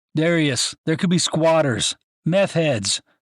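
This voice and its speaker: Pitched fairly high, a man's voice is a put-on character voice. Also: fairly slow pace. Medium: read story. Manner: anxious, cautious.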